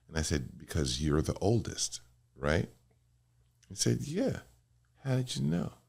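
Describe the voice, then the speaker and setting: A very clean recording of a man, silent in the background. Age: 60s. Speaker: lawyer and politician. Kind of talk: casual chat.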